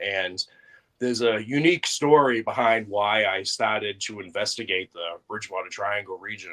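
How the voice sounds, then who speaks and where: With a Boston accent, a man speaks at a moderate pace in a bright, sharp, fairly low voice, his loudness swinging widely. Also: ordinary pitch variation. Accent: Boston-area New England. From Massachusetts (Brockton). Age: 40s. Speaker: paranormal investigator. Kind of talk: podcast interview.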